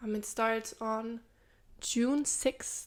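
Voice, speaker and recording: With a non-native accent, a woman speaks at a fairly high pitch with ordinary pitch variation. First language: not English. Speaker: true crime podcast co-host. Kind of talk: case narration; casual podcast chat. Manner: hesitant, many filler sounds.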